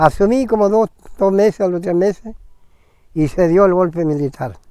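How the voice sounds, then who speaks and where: Talking at a moderate pace, a man with a high pitch has a dark, mellow tone and ordinary pitch variation. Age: 80s+. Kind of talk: testimony. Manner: halting, with repetitions.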